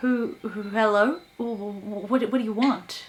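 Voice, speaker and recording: A shaky put-on character voice at a fairly slow pace. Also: woman, fairly high pitch for a woman. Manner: quivering, frightened.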